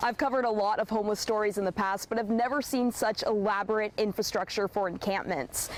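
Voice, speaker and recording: A plain, everyday voice shows ordinary pitch variation. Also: woman. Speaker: TV news reporter. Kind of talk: TV news reporting, live shots and packages.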